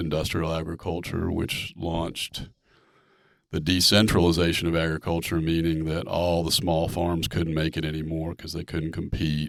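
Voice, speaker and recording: This man has a very deep, low voice and an American accent. He speaks at a moderate pace in a flat monotone. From North Carolina, Charlotte. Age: 60s. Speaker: farmer. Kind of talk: casual chat.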